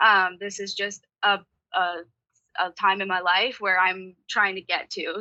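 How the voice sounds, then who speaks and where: A woman talks in a bubbly, bright, sharp tone. Her pitch sits in the medium range. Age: 20s. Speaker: sports team sales executive, former college athlete. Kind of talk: interview. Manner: bubbly and loud.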